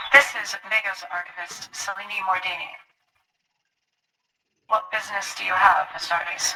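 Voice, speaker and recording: A woman puts on a robotic character voice at a medium pitch, flat and monotone. She keeps a moderate pace with long, frequent pauses. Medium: actual play.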